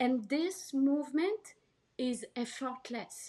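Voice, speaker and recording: A woman with a French accent speaks in a high pitch. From France, Paris. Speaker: healer and actress. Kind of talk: podcast interview.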